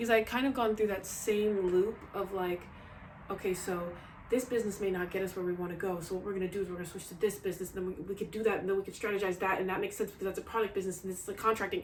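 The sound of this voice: Speaking very fast at a medium pitch, a woman keeps a fairly even intonation amid audible room echo.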